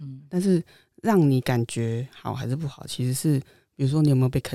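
The voice has a dark, mellow tone. It moves along at a fairly quick pace. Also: woman. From Taiwan, central region. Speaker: guest. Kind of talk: casual chat. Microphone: new microphone.

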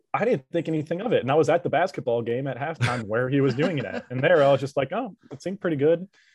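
In a dry, close sound with no echo, a man rattles along at a very fast pace with hardly any pauses, his fairly high, somewhat breathy voice full of lively intonation. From Louisiana. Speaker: student and college sports social media worker. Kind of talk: casual chat.

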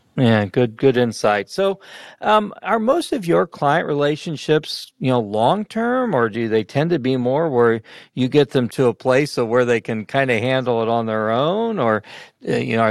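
Recorded very cleanly with a silent background and a dry, close sound with no echo, a man speaks at a moderate pace and medium pitch in an unremarkable speaking voice. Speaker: podcast host. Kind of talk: casual interview with dad jokes.

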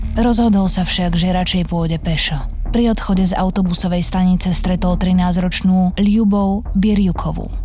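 A woman's medium-pitched voice at a moderate pace, monotone and flat, with very even loudness and music in the background. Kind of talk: true-crime narration. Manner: grave, measured, even-paced storytelling.

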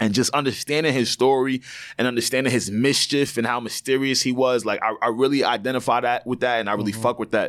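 Rattling along at a very fast pace, a man with a New York accent speaks at a medium pitch in monotone, flat intonation. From New York (Long Island). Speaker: podcast co-host. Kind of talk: casual chat. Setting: studio.

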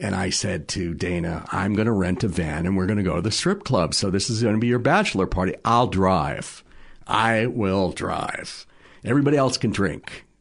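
A man with an ordinary speaking voice and an American accent talks at a moderate pace. His pitch is fairly low with ordinary variation, and the background is quiet. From Massachusetts North Shore. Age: 60s. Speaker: television producer. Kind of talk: casual chat.

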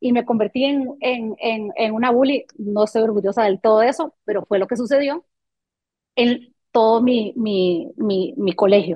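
A woman talks in an ordinary speaking voice, fairly high in pitch with ordinary variation. Her pace is fairly slow. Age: 40s. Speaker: marketing professional and music event producer. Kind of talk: interview conversation.

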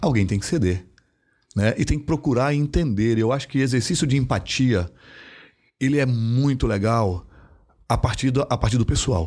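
A man's medium-pitched voice at a moderate pace, lively in intonation, very even in loudness, with long, frequent pauses, on a very clean recording with a silent background. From Brazil, interior of Mato Grosso. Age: 50s. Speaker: payments company executive. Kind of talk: interview conversation.

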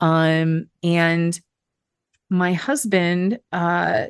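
In a plain, everyday voice, a woman speaks at a fairly low pitch with fairly even intonation, the sound dry and close with no echo over a quiet background. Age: 40s. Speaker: therapist in food addiction recovery. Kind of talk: interview, personal recovery story. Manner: conversational with frequent fillers.

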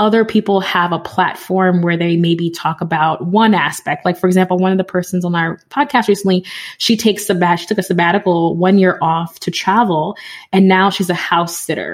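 This woman has a plain, everyday voice and an American accent. She talks at a fairly quick pace and medium pitch with fairly even intonation. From New York City, the Bronx. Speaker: podcaster and community founder. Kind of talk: interview conversation.

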